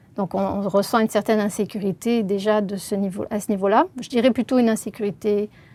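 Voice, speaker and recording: A woman with a dark, mellow tone and medium pitch, at a fairly quick pace with hardly any pauses. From southern France, Marseille region. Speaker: linguist. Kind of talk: interview. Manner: hesitant, many filler sounds.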